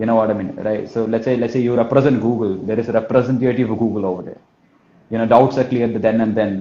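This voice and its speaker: A man talks at a very fast pace. He has a Kerala accent. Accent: Malayali. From India, Kerala. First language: Malayalam. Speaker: sales trainer. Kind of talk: live talk. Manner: repetitive filler phrases; energetic.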